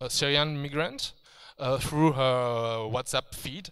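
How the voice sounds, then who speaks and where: Speaking with a French accent, a man has a fairly high pitch and ordinary pitch variation. He talks at a very slow pace. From France. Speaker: video game writer. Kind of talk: conference talk. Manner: halting, many fillers and restarts.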